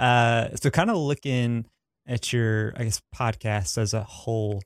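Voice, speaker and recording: A man talks at a medium pitch with a strong Southern US accent. The recording is very clean with a silent background, and the sound is dry and close with no echo. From US South. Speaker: podcast host. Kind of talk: casual interview chat.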